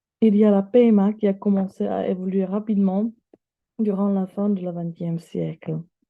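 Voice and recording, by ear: A woman at medium pitch, with fairly even intonation and a moderate pace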